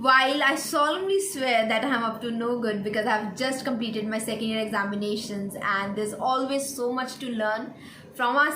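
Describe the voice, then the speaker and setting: A woman at a high pitch and moderate pace, with ordinary pitch variation, audible room echo and noticeable background noise. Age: 20s. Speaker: veterinary student YouTuber. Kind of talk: Q&A vlog.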